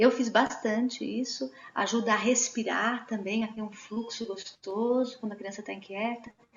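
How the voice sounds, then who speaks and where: The speaker keeps a moderate pace with hardly any pauses and fairly even intonation. Noticeable background noise is present. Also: woman, fairly high pitch for a woman. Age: 40s. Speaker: Waldorf educator. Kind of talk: online talk answering questions.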